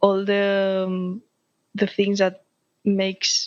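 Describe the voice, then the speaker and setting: A woman with a Spanish accent speaks in a flat monotone, recorded dry and close with no echo on a very clean track with a silent background. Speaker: flag football player. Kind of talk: interview. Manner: halting.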